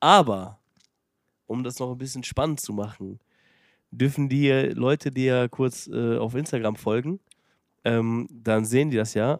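A man pauses often and at length. His pitch is medium and varies in an ordinary way. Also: fairly slow pace. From Germany, Detmold (Lippe). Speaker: podcast host, restaurateur. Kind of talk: casual chat.

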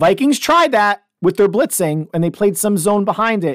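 A man talks in an animated tone. The sound is dry and close with no echo, in a very clean recording with a silent background. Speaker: podcast host and youth football coach. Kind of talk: solo sports podcast monologue.

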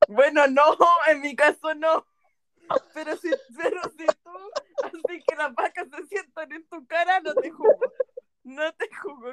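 A woman with a Chilean accent and an extremely high pitch, fairly slow with long, frequent pauses, lively intonation and big swings in loudness. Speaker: podcast co-host. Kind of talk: casual chat.

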